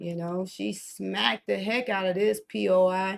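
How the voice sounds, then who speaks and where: At a fairly slow pace, a woman with a medium pitch speaks in an animated tone. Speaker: forex trading streamer. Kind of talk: live trading stream commentary. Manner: casual, animated.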